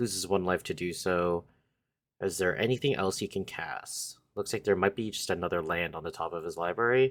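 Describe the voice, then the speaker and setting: Fairly quick delivery from a man with a very deep, low voice and ordinary pitch variation. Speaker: card game commentator. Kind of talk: live commentary. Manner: stutter.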